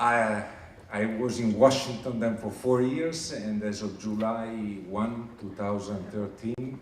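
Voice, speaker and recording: Audible room echo follows a man with an Italian accent who talks at a fairly slow pace, his fairly low voice held to fairly even intonation. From Italy. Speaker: HR manager at international organization. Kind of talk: recruitment presentation. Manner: hesitant with frequent fillers.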